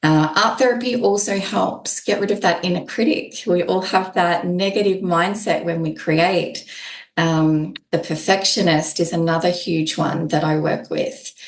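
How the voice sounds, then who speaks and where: A woman with an Australian accent at a fairly low pitch and a fairly slow pace, with ordinary pitch variation and audible room echo. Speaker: holistic art therapist. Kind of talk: podcast interview.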